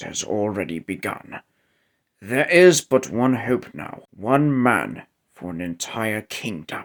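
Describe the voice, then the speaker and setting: On a very clean recording with a silent background, a man uses a raspy, put-on character voice at medium pitch, swinging his pitch very widely at a fairly slow pace. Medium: audio drama. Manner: formal, regal.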